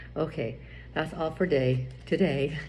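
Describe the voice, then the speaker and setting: There is audible room echo as a woman speaks with fairly even intonation and vocal fry. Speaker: vlogger giving marriage advice. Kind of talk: casual monologue. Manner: halting.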